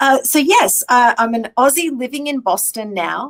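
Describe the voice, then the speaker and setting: With an Australian accent, a woman talks. Her pace is fairly slow. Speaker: technology executive. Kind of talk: interview. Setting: live stream.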